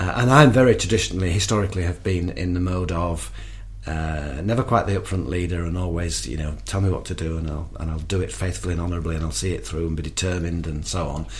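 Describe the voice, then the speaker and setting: A very fast, lively-sounding man with a very deep, low pitch and a northern English accent, plus audible room echo and noticeable background noise. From northern England. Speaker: charity worker. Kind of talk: interview testimony. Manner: halting.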